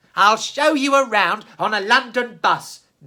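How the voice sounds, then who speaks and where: Moderate pace and fairly high pitch in a put-on character voice. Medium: read story.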